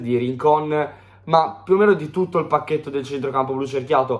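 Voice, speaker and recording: At a fairly quick pace, a man speaks with fairly high pitch and ordinary pitch variation. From Italy. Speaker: football pundit; fan match analyst. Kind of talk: match analysis; football match commentary vlog. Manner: hesitant fillers. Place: home room. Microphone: phone near.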